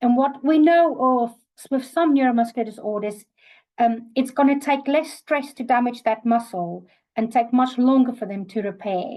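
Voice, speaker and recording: The voice carries a South African accent and a dark, mellow tone, with ordinary pitch variation, a moderate pace and a quiet background. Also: woman, high pitch for a woman. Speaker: occupational therapist. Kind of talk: webinar lecture. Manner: hesitant, many fillers.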